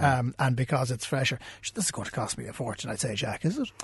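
Against a quiet background, a man with a Cork accent talks at a medium pitch in a somewhat breathy voice. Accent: Cork Irish. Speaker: radio business podcast host. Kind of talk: interview.

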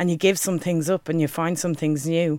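A woman with a Dublin accent, fairly low pitch and fairly quick pace, on a very clean recording with a silent background. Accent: Dublin Irish. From Dublin, Ireland. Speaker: spoken word poet. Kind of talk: spoken word performance.

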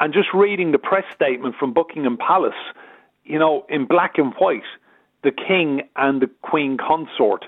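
A man with a fairly high pitch and an unremarkable speaking voice, moderate in pace, with ordinary pitch variation. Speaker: media consultant and journalist. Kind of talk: radio interview.

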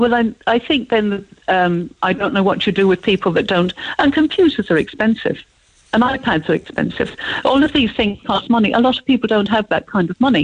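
A woman with an Irish accent speaks at a fairly quick pace and fairly high pitch, somewhat breathy and with lively intonation. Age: old. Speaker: radio caller. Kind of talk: radio phone-in.

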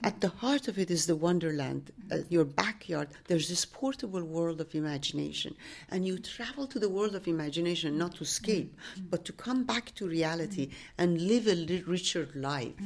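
Lively intonation marks this woman's speech in a Persian accent. She keeps a moderate pace. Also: fairly low pitch for a woman. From Iran, Tehran. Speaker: author and teacher. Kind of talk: interview. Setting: literary festival.

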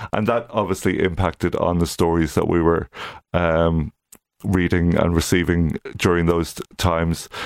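A moderate pace in an Irish accent, fairly even intonation, dry and close sound with no echo, and a very clean recording with a silent background. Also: man, very deep, low pitch for a man. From Ireland, County Louth. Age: 50s. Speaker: literary magazine publisher. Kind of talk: radio interview. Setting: studio. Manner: halting.

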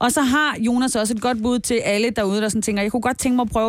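Ordinary pitch variation runs through delivery at a very fast pace. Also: woman. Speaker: radio host. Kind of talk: casual chat. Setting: studio.

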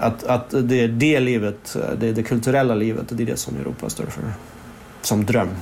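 A man with a mid-range pitch talks at an average speed, his pitch moving normally, while background noise is clearly audible. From Stockholm, Sweden (born in Moscow). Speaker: novelist. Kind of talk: interview. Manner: halting, many restarts.

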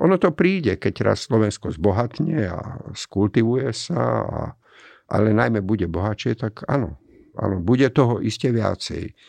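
A man talks at a moderate pace and medium pitch, with vocal fry and lively intonation. The background is quiet. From Slovakia, Komárno. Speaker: architect. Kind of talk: interview.

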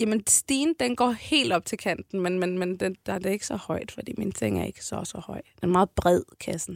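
In a very clean recording with a silent background and a dry, close sound with no echo, a woman at medium pitch talks at a moderate pace with hardly any pauses, very wide pitch swings and vocal fry. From Copenhagen, Amager. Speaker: rapper. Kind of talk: casual interview.

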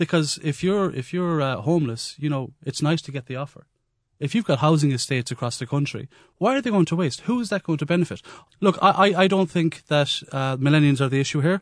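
A man talks at a very fast pace in an Irish accent, his pitch fairly high with ordinary variation. The background is quiet. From west of Ireland. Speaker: comedian. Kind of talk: radio panel discussion. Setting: studio. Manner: animated.

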